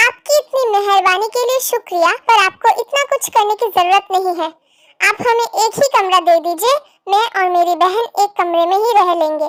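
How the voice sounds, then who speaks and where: A woman does a put-on character voice at an extremely high pitch and a moderate pace, with a dry, close sound and no echo. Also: ordinary pitch variation. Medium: read story.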